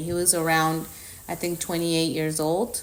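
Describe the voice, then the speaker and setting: A woman with a Spanish accent. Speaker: podcast co-host. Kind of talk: casual chat.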